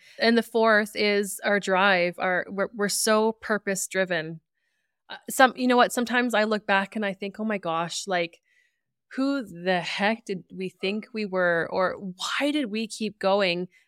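A woman's normal speaking voice, medium-pitched with ordinary pitch variation, at a fairly slow pace on a very clean recording with a silent background. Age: 40s. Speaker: podcast co-host, rural entrepreneur. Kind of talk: casual chat, podcast intro and storytelling.

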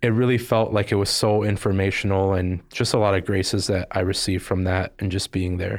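On a very clean recording with a silent background, a man speaks at a fairly quick pace with hardly any pauses, very even loudness, and a fairly low, monotone, flat delivery. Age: 20s. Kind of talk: interview, personal testimony.

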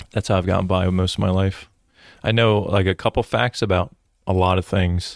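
Recorded dry and close with no echo against a silent background, the very clean clip moves at a fairly quick pace with very even loudness and fairly even intonation. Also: man, very deep, low pitch for a man. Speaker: podcast host and police detective. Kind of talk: casual chat. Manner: joking, conversational.

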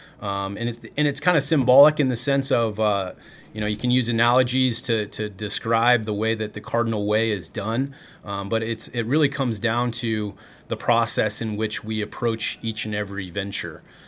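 In a normal speaking voice, a man talks at a moderate pace and medium pitch with fairly even intonation. The recording is very clean, with a silent background. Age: 30s. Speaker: college baseball coach and former professional baseball player. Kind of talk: casual chat.

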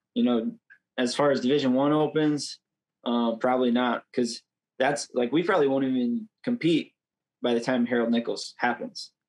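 At a moderate pace and medium pitch, a man with an ordinary speaking voice keeps fairly even intonation and very even loudness in a dry, close sound with no echo. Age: 20s. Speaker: wrestler and coach. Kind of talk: interview.

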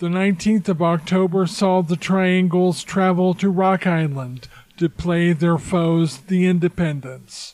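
A man talks at a fairly slow pace in a high voice, with hardly any pauses. His loudness stays very even and his intonation fairly even. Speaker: podcast host and football historian. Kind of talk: recorded segment recounting team history.

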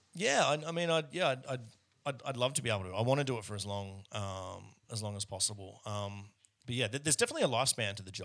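A man talks at a very fast pace in an Australian accent. His pitch is medium and his intonation is lively. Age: 30s. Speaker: wedding photographer. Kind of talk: casual interview chat. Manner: repetitive stammering starts.

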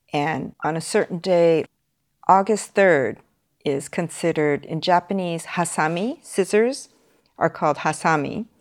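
At a fairly slow pace, a woman with a Californian accent speaks at a fairly low pitch with ordinary pitch variation. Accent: Californian American English. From US, Los Angeles. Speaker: beauty school principal. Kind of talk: interview. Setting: remote call.

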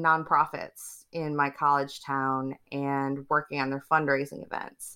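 A woman's bright, sharp tone with an American accent, in a very clean recording with a silent background. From Michigan, US Midwest. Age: 30s. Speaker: wedding marketing consultant. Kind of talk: interview.

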